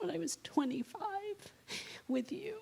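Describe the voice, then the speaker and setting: Over noticeable background noise, a woman's pitch swings very widely. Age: 60s. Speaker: yoga teacher. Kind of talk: casual chat. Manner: animated.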